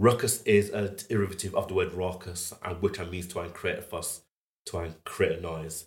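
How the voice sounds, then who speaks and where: A Yorkshire accent at a moderate pace, with big swings in loudness. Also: man. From northern England, Huddersfield. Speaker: fine art photographer. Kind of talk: interview conversation.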